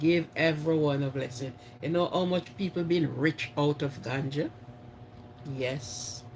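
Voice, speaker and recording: Speaking with a Jamaican accent, a man has a fairly high pitch. He talks at a fairly slow pace with ordinary pitch variation. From Jamaica (St Mary parish). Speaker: live stream host. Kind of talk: casual live chat with viewers. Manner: animated.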